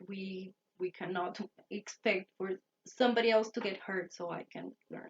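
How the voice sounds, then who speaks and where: She is a woman speaking in a Spanish accent. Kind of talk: talk to camera lecture. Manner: halting, self-correcting.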